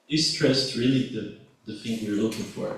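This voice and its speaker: Noticeable background noise and audible room echo surround the recording. A man speaks with a Brazilian accent. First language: Portuguese. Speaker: student and journalist, audience member. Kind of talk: audience question at conference.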